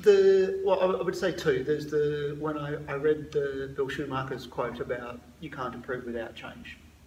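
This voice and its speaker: A man speaks at a moderate pace with hardly any pauses and ordinary pitch variation. His loudness swings widely, and there is noticeable background noise. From Scotland. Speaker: emergency doctor. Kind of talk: casual interview. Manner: halting, repeated words.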